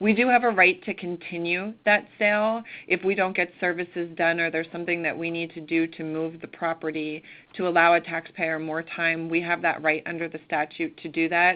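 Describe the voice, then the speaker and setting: A woman with an American accent speaks at a fairly quick pace in an ordinary speaking voice, her pitch fairly low and her intonation fairly even. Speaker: county tax official. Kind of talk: presentation on a conference call.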